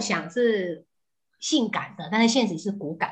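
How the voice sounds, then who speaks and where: Bright and sharp in tone, a woman speaks at a fairly slow pace. Her fairly high pitch makes very wide swings. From southern Taiwan. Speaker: housewife and mother. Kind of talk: casual chat. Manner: animated.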